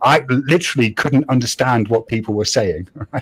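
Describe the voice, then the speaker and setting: A man talks with vocal fry. His pace is fairly quick. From London, moved to the northeast of England as a teenager; lived ten years in Nottingham. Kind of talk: casual, sweary.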